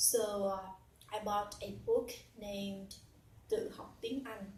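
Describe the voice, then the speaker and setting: Through audible room echo, a woman with a Vietnamese accent speaks very slowly at a fairly high pitch. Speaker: English learner and teacher. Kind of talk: personal story. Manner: halting with fillers.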